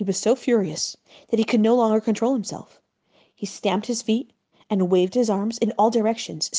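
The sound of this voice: Quiet background behind an unforced reading voice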